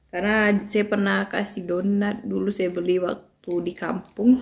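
A woman's fairly slow, monotone delivery with flat intonation. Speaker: mother food vlogger. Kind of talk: casual vlog chat, food review. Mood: relaxed, cheerful. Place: home room. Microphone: phone near.

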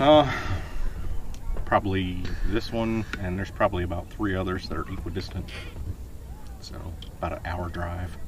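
A man speaks in a very deep, low pitch at a moderate pace, with ordinary pitch variation and long, frequent pauses. The sound is dry with no echo, though background noise is noticeable. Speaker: interviewee. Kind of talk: interview answer. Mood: relaxed, dry humor. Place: boat. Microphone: camera far.

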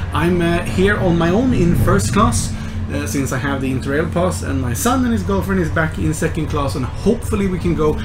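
The talking goes along at a fairly quick clip. Behind it, music is playing. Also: man. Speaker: travel vlogger. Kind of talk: casual vlog chat. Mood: cheerful, upbeat. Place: train. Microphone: phone near.

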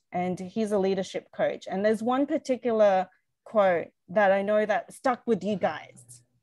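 A woman's voice with an Australian accent, moderate pace and ordinary pitch variation, in a dry sound with no echo against a quiet background. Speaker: designer and small business owner; guest. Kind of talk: interview. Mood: warm, animated storytelling. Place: home room. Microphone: video call.

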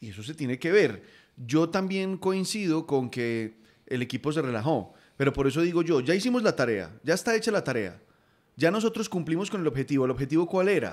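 A man speaks at a fairly quick pace with very wide pitch swings over a quiet background. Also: fairly high pitch for a man. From Colombia. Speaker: football podcast host. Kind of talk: casual football chat. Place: home room. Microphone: studio mic.

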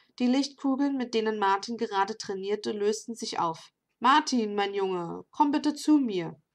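This woman's voice sits fairly high, with ordinary pitch variation. She speaks at a fairly slow pace against a quiet background. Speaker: novelist reading her own book. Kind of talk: reading aloud. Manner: hesitant with fillers in intro.

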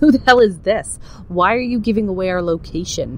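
A put-on character voice, female-sounding and at a medium pitch, fairly quick in pace, with clear background noise and hissing. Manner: hissed, annoyed.

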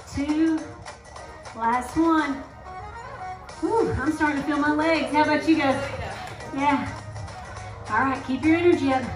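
The speech moves at a fairly slow pace with long, frequent pauses. Music plays in the background, and the intonation stays fairly even. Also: woman, high pitch for a woman. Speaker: fitness instructor. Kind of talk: workout instruction. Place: hall.

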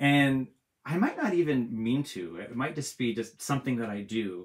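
A man talks at a moderate pace in a medium pitch, animated and with lively intonation. The background is quiet. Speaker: author and illustrator. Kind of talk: live drawing tutorial for kids. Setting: home art studio, livestream. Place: home room.

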